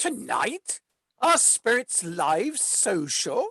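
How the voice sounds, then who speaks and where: The speaker uses a put-on character voice with a fairly high pitch. The pace is very slow. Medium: audio drama.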